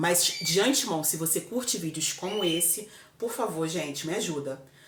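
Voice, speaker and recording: Over noticeable background noise, a woman with a fairly low pitch speaks at a moderate pace. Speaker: vlogger. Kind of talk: casual chat. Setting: home kitchen. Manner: loud.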